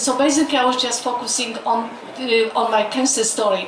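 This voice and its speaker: Noticeable background noise and audible room echo surround a woman's voice. Her pitch is high, her intonation fairly even, and her pace moderate. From Poland. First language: Polish. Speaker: doctor and author. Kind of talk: personal testimony. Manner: halting.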